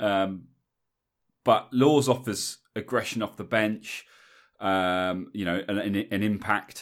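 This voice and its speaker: Very slow speech with long, frequent pauses and fairly even intonation comes through a very clean recording on a silent background. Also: man, fairly low pitch for a man. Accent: English. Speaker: rugby podcast host. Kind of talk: casual chat. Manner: casual, chatty with fillers.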